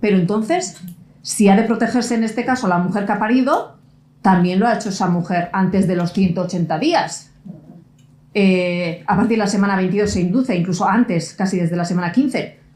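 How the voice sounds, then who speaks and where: A woman's fairly quick, somewhat breathy speech in a Basque accent at a medium pitch with ordinary pitch variation, with audible room echo. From Basque Country. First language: Basque (speaking Spanish). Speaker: lawyer and conference speaker. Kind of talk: conference talk.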